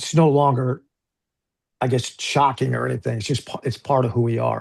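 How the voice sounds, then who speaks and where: Over a quiet background, a man with an ordinary speaking voice and medium pitch talks at a fairly quick pace. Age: 60s. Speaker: lawyer and fitness group founder. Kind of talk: casual chat.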